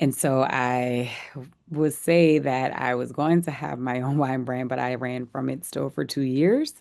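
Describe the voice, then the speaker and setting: With a New Orleans accent, a woman speaks fairly slowly in a very deep, low voice with fairly even intonation. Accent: New Orleans Southern US. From US South, New Orleans. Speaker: wine company founder. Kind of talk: interview. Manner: halting.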